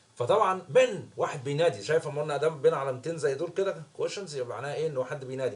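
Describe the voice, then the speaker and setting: A man speaks at a fairly quick pace in a fairly high pitch, with ordinary pitch variation. Noticeable background noise sits behind him. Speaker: English teacher. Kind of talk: lesson explaining a story.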